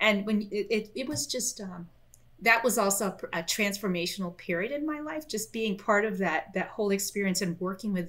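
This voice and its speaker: At a moderate pace, a woman is talking. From Florida, US. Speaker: software company director. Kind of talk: interview and product demo. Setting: remote call. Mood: warm, animated. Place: home room.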